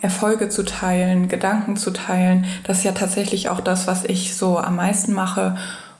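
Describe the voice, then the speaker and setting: In a room with audible echo and noticeable background noise, a woman with a medium-pitched voice speaks at a moderate pace in a flat monotone with very even loudness. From Germany, Frankfurt. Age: 20s. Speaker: university student. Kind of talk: interview.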